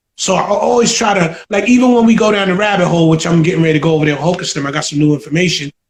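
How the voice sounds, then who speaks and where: A man with an American accent, high in pitch, at a very fast pace with hardly any pauses and ordinary pitch variation. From New York, the Bronx. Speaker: hip hop producer. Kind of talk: interview, casual chat.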